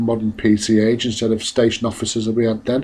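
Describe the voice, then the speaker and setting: Here a man speaks with a Mancunian accent at medium pitch. His intonation is monotone and flat. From northern England, Salford. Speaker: motorcyclist. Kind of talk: casual narration. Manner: hesitant.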